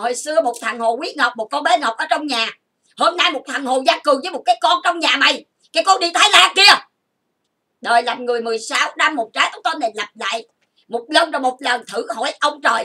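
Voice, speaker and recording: Raised and projected, a woman's high-pitched voice has a bright, sharp tone, lively intonation and a moderate pace. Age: 50s. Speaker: YouTuber. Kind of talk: emotional rant. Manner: animated.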